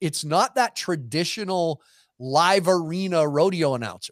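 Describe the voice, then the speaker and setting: The sound is dry and close with no echo in a very clean recording with a silent background, as a man with a fairly high pitch speaks slowly in a plain, everyday voice. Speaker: rodeo entertainer and sideline reporter. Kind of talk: casual chat. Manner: joking, witty.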